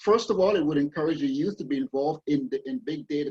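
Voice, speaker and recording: Lively intonation marks a man's very fast speech. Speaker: private sector renewable energy executive. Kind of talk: panel presentation in a virtual session. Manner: halting, many false starts and fillers.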